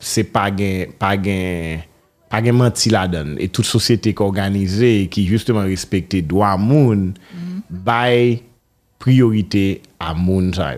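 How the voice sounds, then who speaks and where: Pitched fairly low, a man talks at a very slow pace with ordinary pitch variation. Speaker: radio host. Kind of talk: interview.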